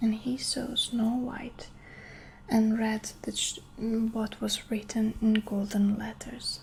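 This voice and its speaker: A somewhat breathy, gentle voice at a very slow pace, with monotone, flat intonation. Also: woman. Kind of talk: ASMR bedtime story reading. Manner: soft, slow, gentle.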